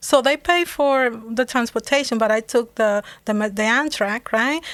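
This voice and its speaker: With a Dominican accent, a woman speaks at a moderate pace in a high pitch with ordinary pitch variation, the sound dry and close with no echo on a very clean recording with a silent background. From Dominican Republic. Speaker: business owner, former engineer. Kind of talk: interview.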